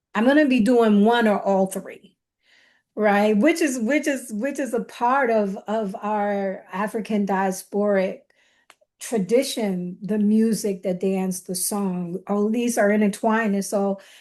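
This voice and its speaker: Against a quiet background, a woman with a Southern US accent and a fairly high pitch speaks at a fairly slow pace with ordinary pitch variation. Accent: Southern twang. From Chicago, south side. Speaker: dance scholar. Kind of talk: podcast interview. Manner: halting.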